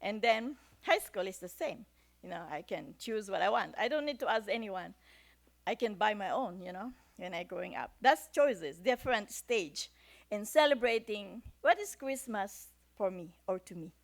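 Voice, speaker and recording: The speaker is a woman with a Filipino accent. Her intonation is lively. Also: fairly high pitch for a woman, moderate pace, big swings in loudness. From Philippines. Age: 60s. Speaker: church speaker. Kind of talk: sermon.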